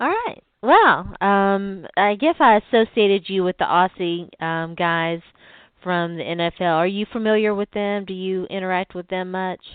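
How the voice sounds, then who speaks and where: Speaking in a strong Southern US accent, a woman with a medium pitch keeps a moderate pace and fairly even intonation. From US South. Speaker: sports podcast host. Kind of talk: casual interview.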